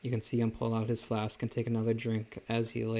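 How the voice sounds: The clip is a natural reading voice.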